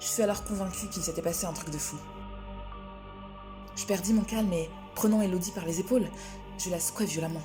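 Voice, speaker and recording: Music plays in the background as a woman talks fairly quickly at medium pitch with ordinary pitch variation. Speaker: storyteller. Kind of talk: horror story narration.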